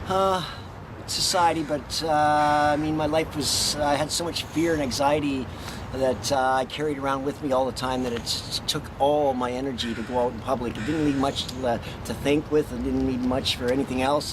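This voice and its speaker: The speaker has a Western Canadian accent and fairly even intonation. Background noise is noticeable. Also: man. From Alberta, Canada. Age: 50s. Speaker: former drug addict on methadone. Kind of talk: interview answer. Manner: hesitant, many fillers.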